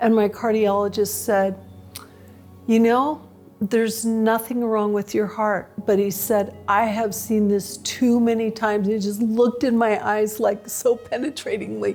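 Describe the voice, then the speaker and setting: Over music in the background, a woman speaks at a fairly slow pace in a fairly high pitch, with monotone, flat intonation and very even loudness. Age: 60s. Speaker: patient giving testimonial. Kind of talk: testimony. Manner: conversational with frequent fillers.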